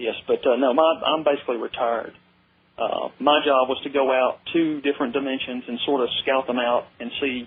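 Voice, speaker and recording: Delivered at a moderate speed, the speech keeps its intonation fairly even. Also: man, fairly high pitch for a man. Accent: Southern US. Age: young. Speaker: caller. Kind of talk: call-in radio conversation. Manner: halting, many fillers.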